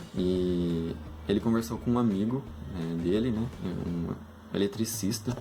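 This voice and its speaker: Speaking at a fairly slow pace, a man with a fairly low pitch and ordinary pitch variation leaves long, frequent pauses. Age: 20s. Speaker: engineering student. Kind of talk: casual talk to students about a career. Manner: hesitant, many fillers.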